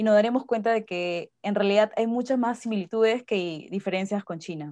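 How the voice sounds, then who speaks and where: A woman speaks at a moderate pace in a fairly high voice with a dark, mellow tone. Her pitch varies in an ordinary way. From Peru. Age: 20s. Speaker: podcast co-host, Chinese translator and interpreter. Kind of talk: casual chat.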